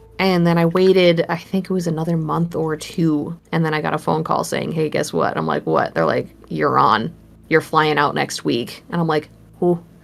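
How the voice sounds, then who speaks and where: A woman with a Minnesotan accent at a moderate pace. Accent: Minnesota. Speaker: horror artist. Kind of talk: casual interview.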